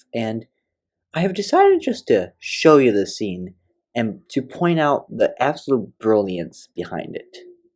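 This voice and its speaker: A quiet man at a medium pitch and fairly slow pace, on a very clean recording with a silent background. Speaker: comedy film reviewer. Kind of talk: comedic video review narration. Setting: at home, others asleep. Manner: talking quietly.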